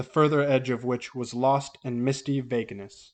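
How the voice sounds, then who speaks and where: A man talks at a moderate pace and medium pitch. His intonation stays fairly even. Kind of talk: horror audiobook reading. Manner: dramatic.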